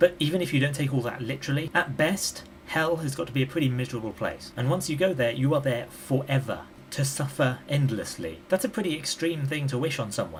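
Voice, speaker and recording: Over noticeable background noise, a man with a British accent talks at a fairly quick pace with ordinary pitch variation. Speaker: YouTube commentator. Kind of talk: vlog monologue. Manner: conversational.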